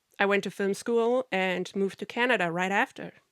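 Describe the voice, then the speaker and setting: A woman speaks with a bright, sharp tone. The sound is dry and close with no echo, very clean, over a silent background. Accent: German. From Germany. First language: German. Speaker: podcaster on narcissistic abuse, film industry worker. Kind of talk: podcast monologue.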